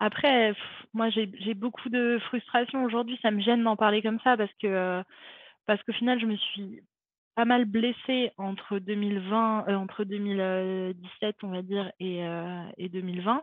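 Very slowly and with fairly even intonation, a woman speaks. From France, Montpellier. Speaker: retired javelin thrower. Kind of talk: interview conversation. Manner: hesitant, many fillers.

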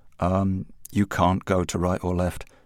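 In a very clean recording with a silent background, a man with a London accent speaks at a very deep, low pitch with monotone, flat intonation. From England. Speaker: music journalist and slang historian. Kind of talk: interview.

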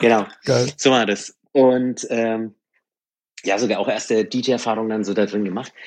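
A man talks at a medium pitch in a monotone, flat delivery. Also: fairly slow pace. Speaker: rock music DJ. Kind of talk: casual chat. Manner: determined.

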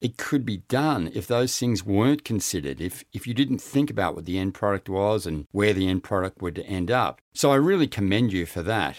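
Very wide pitch swings mark a man's Australian accent. His moderate pace comes through on a very clean recording with a silent background. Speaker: podcast host. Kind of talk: interview.

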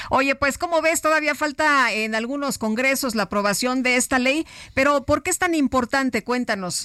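On a very clean recording with a silent background and a dry, close sound with no echo, a woman uses a raised, projected voice that is high-pitched, bright and sharp, with ordinary pitch variation at a moderate pace. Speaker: radio co-host. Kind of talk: news radio interview.

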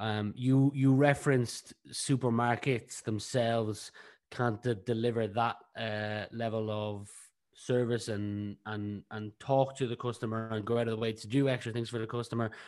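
Over a quiet background, a man with a Northside Dublin accent speaks at a moderate pace in a medium pitch, his intonation monotone and flat. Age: 20s. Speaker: podcast host. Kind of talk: interview.

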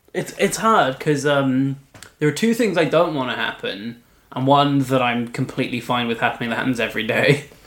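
This man has a plain, everyday voice. It is fairly high-pitched, with lively intonation. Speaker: podcast host. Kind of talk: casual chat. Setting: home recording.

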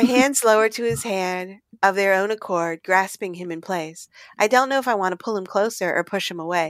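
What we hear is a natural reading voice.

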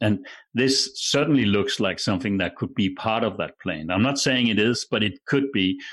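With a Danish accent, the speaker talks at a moderate pace with ordinary pitch variation against a quiet background. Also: man. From Denmark. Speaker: broadcaster. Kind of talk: casual chat.

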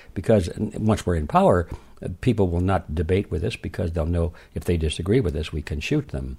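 Very fast and somewhat breathy, a man speaks in a dark, mellow tone. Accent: American. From US Midwest, Detroit. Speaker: author. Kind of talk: interview. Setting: remote call.

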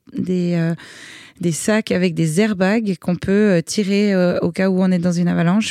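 A woman speaks in a fairly low pitch with a dark, mellow tone and monotone, flat intonation. The sound is dry and close, with no echo. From Switzerland. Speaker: extreme sports athlete. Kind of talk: interview.

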